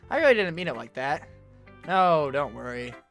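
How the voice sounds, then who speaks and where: The speaker talks fairly quickly while music plays behind the voice. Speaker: gaming video creator. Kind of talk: reading game dialogue and poems aloud during gameplay.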